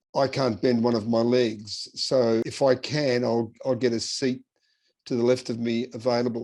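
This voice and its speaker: In an Australian accent, a man speaks at medium pitch with monotone, flat intonation. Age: 70s. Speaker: person with haemophilia sharing travel tips. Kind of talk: interview-style advice talk. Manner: casual, with hesitations and repeats.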